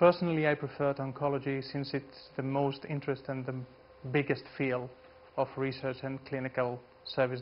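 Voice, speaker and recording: Speaking at a fairly quick pace, a man with a Greek accent keeps a monotone, flat intonation. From Greece. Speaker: geneticist. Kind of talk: lecture. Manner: halting.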